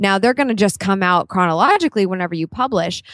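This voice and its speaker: A woman's normal speaking voice, medium in pitch, with ordinary pitch variation against a quiet background. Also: dry, close sound with no echo. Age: 30s. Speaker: vlogging and branding entrepreneur. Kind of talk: interview.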